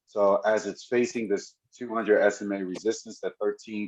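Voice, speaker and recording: Keeping a moderate pace, this man speaks at a medium pitch. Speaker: stock market commentator. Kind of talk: stock chart analysis. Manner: hesitant with many fillers.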